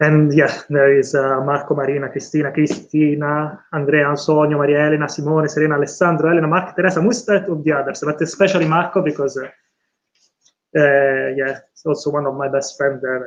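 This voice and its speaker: In an Italian accent, a man with a fairly high voice speaks at a fairly quick pace with fairly even intonation. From Italy, San Benedetto. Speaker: PhD candidate. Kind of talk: thesis defense acknowledgements speech. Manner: halting, many fillers.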